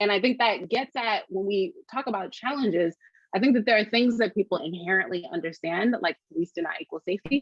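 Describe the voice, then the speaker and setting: This woman has a medium pitch and lively intonation. She moves at a fairly quick pace. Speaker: community organizer. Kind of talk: panel discussion. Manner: fast.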